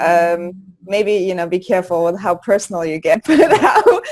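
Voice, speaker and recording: A woman with a German accent speaks at a medium pitch and a moderate pace. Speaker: birth course host and doula. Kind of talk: casual interview.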